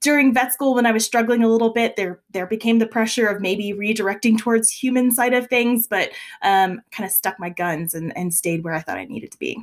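Using an ordinary speaking voice with an American accent, a woman talks at a fairly quick pace with hardly any pauses. Her pitch is fairly high with ordinary variation. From South Louisiana, US. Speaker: veterinarian and vet school admissions director. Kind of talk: interview.

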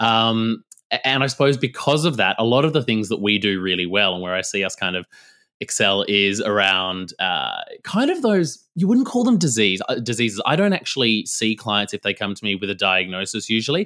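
In a very clean recording with a silent background, a man speaks at a fairly quick pace and medium pitch, his tone bright and sharp and his intonation lively. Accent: Australian. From Western Australia, rural. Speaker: nutritionist and naturopath. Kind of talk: casual interview.

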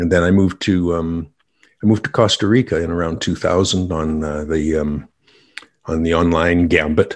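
A man with a Canadian accent speaks in a very deep, low pitch with fairly even intonation. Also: moderate pace. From western Canada. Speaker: business owner, author and musician. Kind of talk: casual interview.

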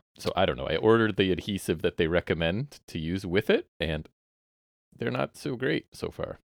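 A man with a very deep, low pitch and vocal fry talks at a moderate pace with lively intonation, in a dry, close sound with no echo and a very clean recording with a silent background. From Southern Ontario, Canada. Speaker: podcast host. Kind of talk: casual chat about wrestling. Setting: basement, recorded at home.

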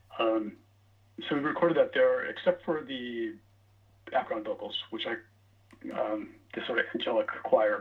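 Noticeable background noise behind a man speaking at a moderate pace, broken by long, frequent pauses. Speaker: singer-songwriter musician. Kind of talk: casual interview. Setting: phone call.

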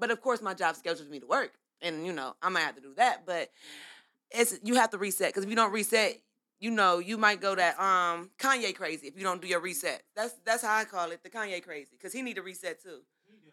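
Speaking very fast with an American accent, a woman has a medium pitch, ordinary pitch variation and a bright, sharp tone. Her loudness swings widely on a very clean recording with a silent background. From Ohio. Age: 30s. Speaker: candle business owner. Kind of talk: casual chat.

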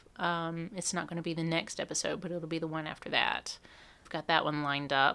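Her tone is bright and sharp, her pitch fairly low, and she speaks at a fairly quick pace in a flat monotone. The woman's recording is very clean, with a silent background. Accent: Southern US. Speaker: podcast co-host. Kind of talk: casual chat. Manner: playful, hams it up.

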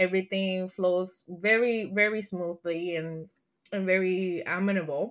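With a Spanish accent, a woman of medium pitch talks at a moderate pace on a very clean recording with a silent background. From Puerto Rico. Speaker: learning and development leader. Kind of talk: interview.

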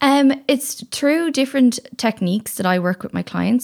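A woman speaks in a normal speaking voice at a moderate pace with lively intonation. The recording is very clean, with a silent background. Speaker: sex and relationship coach. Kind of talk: casual interview chat.

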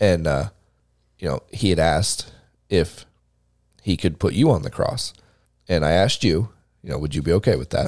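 A man with a very deep, low voice and vocal fry talks at a moderate pace with lively intonation and long, frequent pauses. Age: 30s. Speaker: podcast co-host. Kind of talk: casual chat. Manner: animated.

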